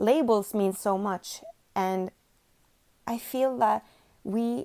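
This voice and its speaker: Her tone dark and mellow, a woman speaks at a fairly high pitch with fairly even intonation. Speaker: vlogger. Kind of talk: casual monologue to camera. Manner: unscripted, occasional stutters and restarts.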